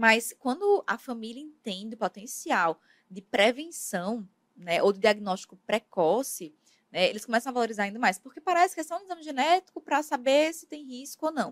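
A high-pitched woman speaks at a moderate pace with very wide pitch swings, recorded in a dry, close sound with no echo. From Brazil, Paraíba (Campina Grande). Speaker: medical geneticist. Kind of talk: interview.

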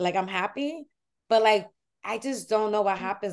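A woman talks in a New York accent at a moderate pace. Her pitch is medium. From New York City (Washington Heights), Dominican family. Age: 30s. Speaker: comedian. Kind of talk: casual chat.

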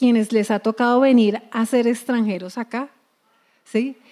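In a very clean recording with a silent background, a woman speaks fairly slowly, her fairly high voice dark and mellow in tone, with fairly even intonation. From Colombia. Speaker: preacher. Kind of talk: sermon.

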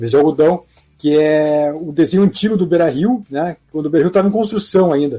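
Here a man speaks at a fairly quick pace in a fairly high pitch. His tone is dark and mellow. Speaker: football history channel host. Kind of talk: interview.

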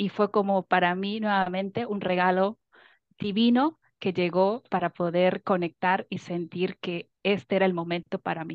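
A woman with an ordinary speaking voice talks fairly slowly at medium pitch, keeping her intonation fairly even. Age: 30s. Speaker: coaching client. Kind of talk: testimony.

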